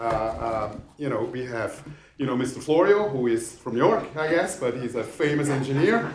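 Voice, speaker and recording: A man with a Swiss accent speaks at a moderate pace, his fairly high voice rising and falling in a lively way. Noticeable background noise and audible room echo fill the recording. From Switzerland. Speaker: real estate developer. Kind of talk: public hearing presentation.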